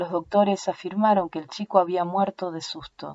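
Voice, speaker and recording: A woman with an Argentinian accent speaks at a medium pitch. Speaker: audiobook narrator.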